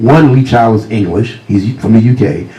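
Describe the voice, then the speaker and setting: A man with a Virginia accent, against noticeable background noise and audible room echo. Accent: Virginia Southern US. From US South, Virginia. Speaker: crime novelist. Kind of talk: author talk with storytelling. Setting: stage with audience.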